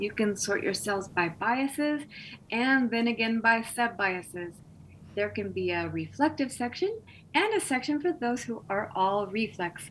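On a very clean recording with a silent background, the speaker talks at a fairly slow pace with an American accent. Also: woman, fairly high pitch for a woman. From Texas. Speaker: essayist. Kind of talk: casual interview; reading aloud. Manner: halting.

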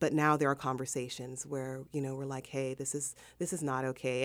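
A woman with a Southern Californian accent speaks at a very deep, low pitch and a fairly quick pace. The recording is very clean, with a silent background. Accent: Southern California American. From South Central Los Angeles. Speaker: interview guest. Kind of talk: interview.

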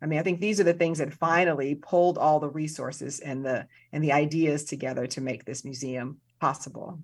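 In a very clean recording with a silent background, a woman with an American accent talks at a fairly quick pace in a very deep, low voice with fairly even intonation. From US Midwest, South Side of Chicago. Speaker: museum director and film professor. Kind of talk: interview.

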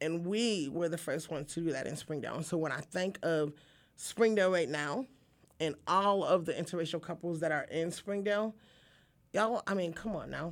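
A woman with an American accent speaks at a moderate pace in a plain, everyday voice, her pitch fairly low with ordinary variation. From upstate New York, then Arkansas from age 14. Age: 40s. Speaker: community activist and city council candidate. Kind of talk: casual interview. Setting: radio studio.

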